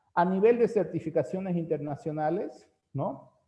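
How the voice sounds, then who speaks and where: Lively intonation marks this man's voice. He speaks rather slowly. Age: 40s. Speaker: teacher. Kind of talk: lecture.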